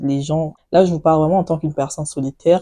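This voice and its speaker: A woman speaks at a very deep, low pitch in a dark, mellow tone. Her intonation is monotone and flat, and the sound is dry and close with no echo. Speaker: beauty and lifestyle vlogger. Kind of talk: casual chat to camera.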